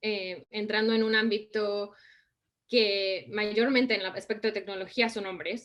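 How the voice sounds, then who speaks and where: A woman at medium pitch and a fairly slow pace. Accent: Mexican. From Mexico. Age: 30s. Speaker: design and innovation consultant. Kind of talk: interview.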